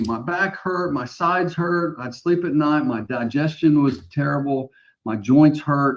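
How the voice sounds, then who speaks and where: A man's plain, everyday voice against a quiet background. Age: 60s. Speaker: mortgage branch manager. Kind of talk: casual chat.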